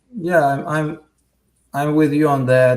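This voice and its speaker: A man with a Russian accent speaks in a monotone, flat intonation. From Russia, St. Petersburg. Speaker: firefighter and paramedic. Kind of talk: interview.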